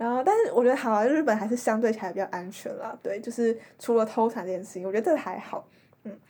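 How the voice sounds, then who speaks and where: A woman talks very fast at a fairly high pitch, with ordinary pitch variation. Her loudness swings a lot, and there is noticeable background noise. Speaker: exchange student. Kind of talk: casual chat.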